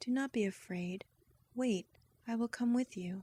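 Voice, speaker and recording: At a moderate pace, a woman speaks in a dark, mellow, somewhat breathy tone, recorded dry and close with no echo. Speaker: voice actress. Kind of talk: bedtime story reading.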